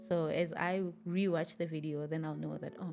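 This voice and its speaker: A woman's fairly low-pitched voice with music in the background. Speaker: podcast host. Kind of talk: podcast conversation.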